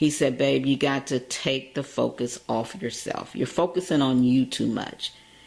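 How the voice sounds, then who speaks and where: A woman's very deep, low voice with vocal fry. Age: 60s. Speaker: radio and web TV host. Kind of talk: interview.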